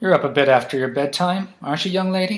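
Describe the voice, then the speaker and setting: In a put-on, gruff character voice, a man rattles along at a very fast pace with a high pitch. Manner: mildly teasing.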